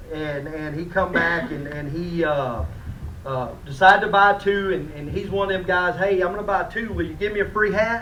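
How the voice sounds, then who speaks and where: A man speaks loudly at a high pitch and a moderate pace, with ordinary pitch variation. Noticeable background noise and audible room echo come through as well. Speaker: fishing rod company representative. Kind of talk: award presentation at a conference. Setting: conference room with audience.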